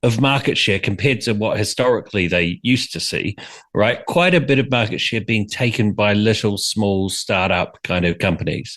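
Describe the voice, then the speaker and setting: Against a quiet background, a man talks with lively intonation in a New Zealand accent. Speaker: brand strategist and author. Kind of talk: interview.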